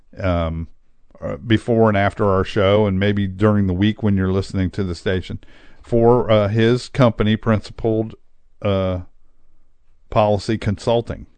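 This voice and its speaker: A man at a fairly low pitch and moderate pace, with fairly even intonation and long, frequent pauses, over a quiet background. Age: 60s. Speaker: radio talk show host. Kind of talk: solo monologue. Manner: halting, many filler words.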